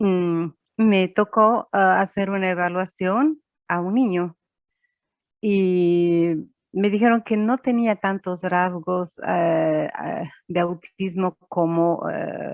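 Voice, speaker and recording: A woman's voice at a very slow pace, with ordinary pitch variation. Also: medium pitch for a woman. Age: 60s. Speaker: psychologist. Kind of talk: interview answers. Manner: halting, many fillers.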